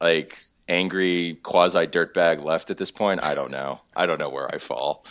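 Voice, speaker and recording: A man speaks with a very deep, low pitch and audible vocal fry. His intonation stays fairly even at a moderate pace. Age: 30s. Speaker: economics journalist. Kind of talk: casual chat.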